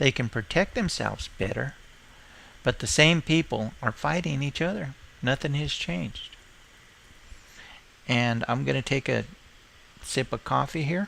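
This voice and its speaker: Speaking at a moderate pace with long, frequent pauses, a man uses a bright, sharp tone at medium pitch, with vocal fry and lively intonation. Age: 60s. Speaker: live streamer. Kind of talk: opinion monologue on live stream.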